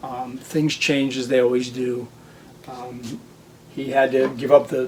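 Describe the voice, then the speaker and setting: A man talks at a fairly slow pace and a medium pitch. His intonation is monotone and flat. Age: 60s. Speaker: hobby farm and restoration video maker. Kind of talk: casual personal narration to camera. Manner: hesitant, with many fillers.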